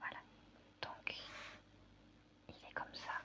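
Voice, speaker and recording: Whispering woman, relaxed tone, very slow pace. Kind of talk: ASMR crafting video, casual talk to camera. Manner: soft-spoken, relaxed.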